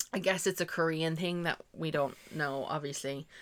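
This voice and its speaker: In a very clean recording with a silent background, a woman with an Irish accent talks at a moderate pace in a fairly low pitch, with ordinary pitch variation. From Ireland. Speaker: podcast co-host. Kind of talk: casual chat.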